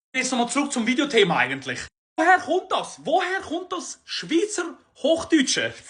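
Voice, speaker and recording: An animated tone comes through in a raised, projected voice. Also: man. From Switzerland. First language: Swiss German (speaking German). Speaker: comedian. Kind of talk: comedic monologue.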